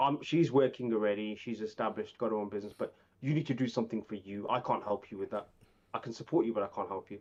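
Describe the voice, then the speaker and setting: Talking at a very fast pace, a man uses ordinary pitch variation. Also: medium pitch for a man. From Birmingham, England. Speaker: IT and data professional. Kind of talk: casual podcast chat. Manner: halting, many false starts and repeats.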